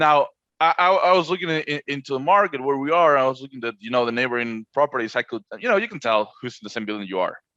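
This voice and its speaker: A man with a Spanish accent: fairly high pitch, bright, sharp tone, lively intonation, big swings in loudness, very fast pace, and a dry, close sound with no echo. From Argentina. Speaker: short-term rental co-host. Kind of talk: casual podcast conversation. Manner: halting, repeats words.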